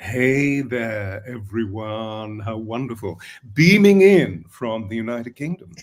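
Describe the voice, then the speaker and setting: A man's medium-pitched voice with ordinary pitch variation at a very slow pace. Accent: English. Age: 70s. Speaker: voice coach and spiritual author. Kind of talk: casual chat.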